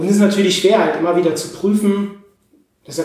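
A man talks at a very fast pace. Room echo is audible around his voice. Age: 30s. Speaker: psychologist and podcaster. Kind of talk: interview conversation. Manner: hesitant fillers.

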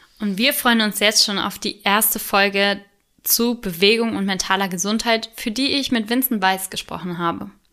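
Her tone is bright and sharp, at a medium pitch for a woman. She keeps a moderate pace and fairly even intonation. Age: 20s. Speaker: podcast co-host, volunteer youth sports board member. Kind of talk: scripted podcast intro. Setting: studio, sitting beside co-host.

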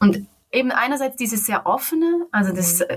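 At a moderate pace, a woman speaks with very wide pitch swings and a somewhat breathy voice. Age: 30s. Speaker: interview guest. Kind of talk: personal interview.

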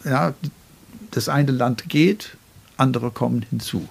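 At a very slow pace, a man talks at medium pitch. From Northern Ireland, Belfast. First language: English (speaking German). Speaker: poet and writer. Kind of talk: interview. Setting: at his home desk.

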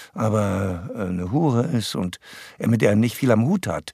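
The man's pitch swings very widely. His recording is very clean with a silent background, and the sound is dry and close with no echo. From Saxony, Erzgebirge (eastern Germany). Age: 70s. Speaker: actor and voice actor. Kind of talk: casual interview.

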